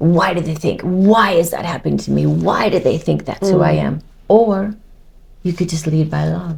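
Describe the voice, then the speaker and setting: A woman with an American accent talks in a dark, mellow tone edged with vocal fry. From United States. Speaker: model and TV personality. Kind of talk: interview answer.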